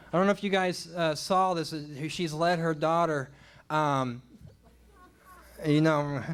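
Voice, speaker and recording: Speaking with an American accent at a fairly slow pace, the voice stays fairly even in intonation, breaks often with long pauses, and carries audible room echo. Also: man, fairly high pitch for a man. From Oklahoma. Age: 40s. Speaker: stand-up comedian. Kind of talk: stand-up. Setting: stage with audience. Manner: halting.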